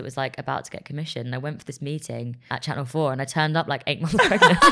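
Using a very deep, low pitch, a woman talks at a very fast pace with hardly any pauses. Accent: English. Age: 30s. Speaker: journalist and broadcaster. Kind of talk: casual chat.

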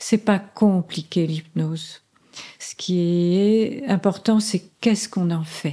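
A woman with a medium pitch and a dark, mellow tone speaks at a very slow pace. Her pitch variation is ordinary, while her loudness swings a lot. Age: 70s. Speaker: psychotherapist and hypnotherapist. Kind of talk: interview; guided hypnotic induction. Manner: slower, modulated hypnotic delivery.

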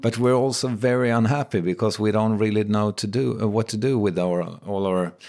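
The recording is very clean, with a silent background. A man with a Swedish accent talks at a fairly low pitch with ordinary pitch variation. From Sweden. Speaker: podcaster. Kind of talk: casual interview chat.

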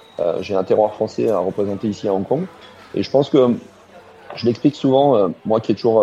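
Speaking at a fairly quick pace, a man has a fairly low pitch. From Alsace, France. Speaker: chef. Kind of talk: interview. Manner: halting, with fillers.

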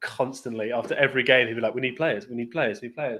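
A man's voice with an English accent and fairly even intonation. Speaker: football fan guest. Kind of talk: casual chat.

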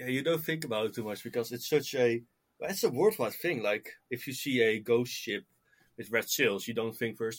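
A man with a plain, everyday voice speaks at medium pitch and a moderate pace, using ordinary pitch variation, in a very clean recording with a silent background. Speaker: guest, Titanic and metal fan. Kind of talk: casual interview chat.

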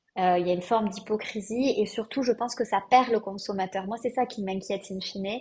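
Somewhat breathy, this woman's fairly high voice moves at a fairly quick pace with fairly even intonation. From southwest France. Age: 30s. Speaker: eco-fashion brand founder. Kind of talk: podcast interview.

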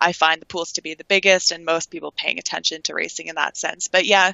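With a Canadian accent, a woman speaks at a fairly quick pace in a fairly low pitch, showing ordinary pitch variation and some vocal fry. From Toronto, Canada. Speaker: sports betting handicapper. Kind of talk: interview.

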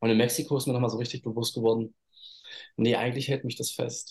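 A man's somewhat breathy voice at a very fast pace. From eastern Germany, Halle/Leipzig area. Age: 30s. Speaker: model and spiritual coach. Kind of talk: interview.

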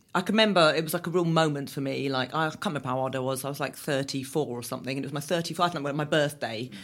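In a southern English accent, a woman talks at a very fast pace with hardly any pauses, her very deep, low pitch showing ordinary variation, in a very clean recording with a silent background. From southern England. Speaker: endurance runner and fitness instructor. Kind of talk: interview. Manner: animated.

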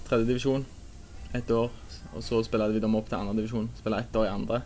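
His intonation stays fairly level. The man's voice sits at a medium pitch. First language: Norwegian (speaking Swedish). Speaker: football player. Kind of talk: interview.

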